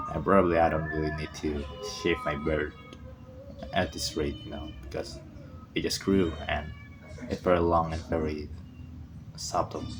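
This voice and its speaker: A man's very deep, low voice in a non-native accent, flat and monotone at a moderate pace, with long, frequent pauses and music in the background. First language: not English. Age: 20s. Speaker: vlogger. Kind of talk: casual monologue. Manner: halting, repeats words.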